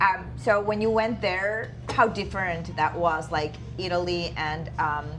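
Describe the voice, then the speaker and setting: Over music in the background, a woman talks very slowly at a fairly low pitch. Her intonation is lively. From Georgia (country). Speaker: interviewer. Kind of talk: interview question.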